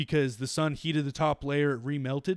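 A fairly quick pace, an unremarkable speaking voice, and a very clean recording with a silent background. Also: man. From Canada. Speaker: podcast co-host. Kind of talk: casual chat.

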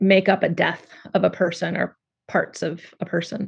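The woman's pitch is medium. She talks at a fairly slow pace. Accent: American. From California. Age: 40s. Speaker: poet. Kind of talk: interview.

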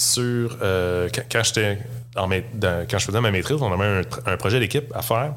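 Very slow male speech, medium in pitch, with ordinary pitch variation. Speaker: space engineering graduate, software engineer. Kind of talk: casual interview.

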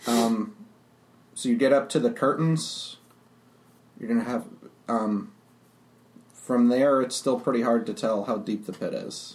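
Long, frequent pauses from a man talking at a fairly slow pace. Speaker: game master. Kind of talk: tabletop role-playing game session, casual.

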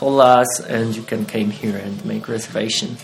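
The speaker has a Polish accent. Background noise is noticeable. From Poland, Wieliczka area. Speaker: haunted attraction owner. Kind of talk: interview. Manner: halting.

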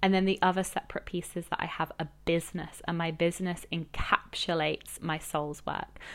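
Flat and monotone, a woman talks fairly quickly in a fairly low pitch. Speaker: life and business coach. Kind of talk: solo podcast monologue. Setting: podcast recording.

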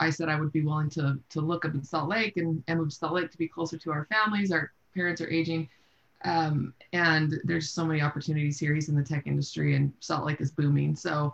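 A woman with an American accent, a very deep, low pitch and a somewhat breathy voice, at a very fast pace with fairly even intonation and very even loudness. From US Pacific Northwest (Seattle). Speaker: real estate investor. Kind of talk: interview.

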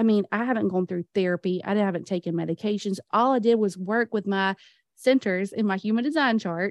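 With an American accent, a woman in an ordinary speaking voice talks at a moderate pace with ordinary pitch variation. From US South. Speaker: business client and aspiring podcaster. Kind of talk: casual interview chat.

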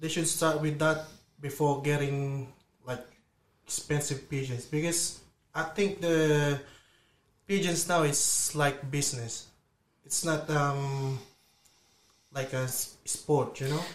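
A man with a fairly high pitch talks at a very slow pace, with long, frequent pauses, fairly even intonation and a somewhat breathy sound. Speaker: pigeon racer, studio guest. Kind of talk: relaxed interview chat in a radio studio. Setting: studio.

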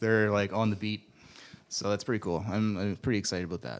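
Pitched fairly low, a man speaks in a normal speaking voice with ordinary pitch variation. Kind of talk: casual chat.

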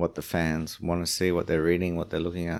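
With an Australian accent, a man speaks at a moderate pace in a very deep, low pitch. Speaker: surfing tour manager. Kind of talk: casual chat.

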